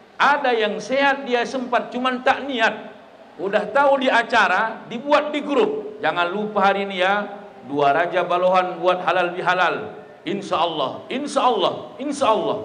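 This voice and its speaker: Over noticeable background noise and audible room echo, a man speaks at a fairly slow pace in a high pitch, his tone animated and his intonation lively. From North Sumatra, Labuhan Batu. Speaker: Islamic preacher. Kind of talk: sermon at halal bihalal event. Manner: animated, humorous.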